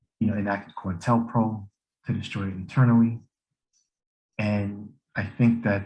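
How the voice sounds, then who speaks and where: A somewhat breathy man at a moderate pace, with fairly even intonation. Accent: American. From US Rust Belt. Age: 40s. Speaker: political educator. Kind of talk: lecture. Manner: halting, many fillers and restarts.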